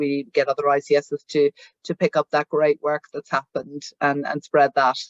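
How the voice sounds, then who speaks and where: The speaker talks at a moderate pace in a Northern Irish accent. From Northern Ireland. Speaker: head of a patient charity. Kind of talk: meeting presentation. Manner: halting, many fillers and repeats.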